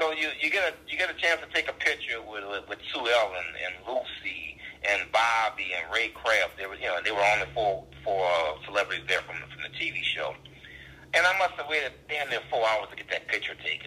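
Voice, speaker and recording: A medium-pitched man with a New Orleans accent at a fairly quick pace, very wide pitch swings, noticeable background noise behind him. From US South, New Orleans. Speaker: stand-up comedian. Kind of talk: casual interview chat. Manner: fast talker.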